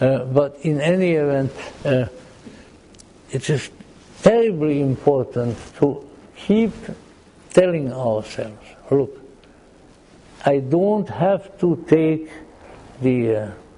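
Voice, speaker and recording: Lively intonation marks a man's fairly high voice. He goes at a very slow pace with long, frequent pauses. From Austria-Hungary region, Central Europe. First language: German and Hungarian. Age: old. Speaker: lecturer on Gnosticism and mythology. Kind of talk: lecture. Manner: halting, frequent repetitions and fillers.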